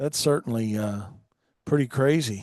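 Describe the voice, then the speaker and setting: A man talks at a moderate pace with an American accent and lively intonation. The sound is dry and close, with no echo. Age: 60s. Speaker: radio show host, lawn business owner. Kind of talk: casual live radio chat. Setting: live radio studio.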